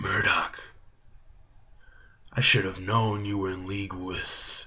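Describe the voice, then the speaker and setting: Using a put-on character voice, a man speaks in a raspy, fairly low pitch at a fairly slow pace. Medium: read story.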